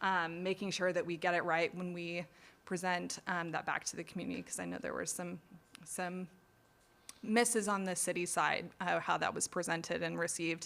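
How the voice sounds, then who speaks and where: At a moderate pace, a woman with an American accent and a fairly low pitch speaks in a monotone, flat intonation. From Indiana, US Midwest. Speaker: assistant city manager. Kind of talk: community meeting self-introduction. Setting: public meeting.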